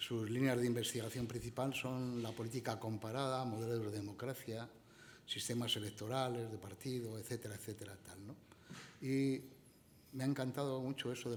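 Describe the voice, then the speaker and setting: A soft-spoken man at medium pitch, monotone and flat in intonation, at a moderate pace, with audible room echo. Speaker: event moderator introducing a speaker. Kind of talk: speaker introduction at a conference.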